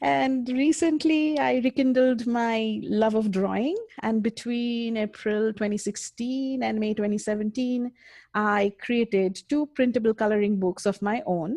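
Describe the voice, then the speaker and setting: Against a quiet background, a woman with a fairly high pitch and a dark, mellow tone speaks at a fairly slow pace with ordinary pitch variation, in a dry, close sound with no echo. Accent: Indian. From India. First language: Indian language. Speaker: mixed media artist. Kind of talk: interview.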